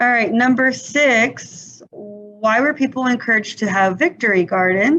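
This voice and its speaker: Lively intonation at a fairly slow pace, very even loudness and hardly any pauses, with music in the background. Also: woman, fairly high pitch for a woman. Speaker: teacher. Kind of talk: lecture.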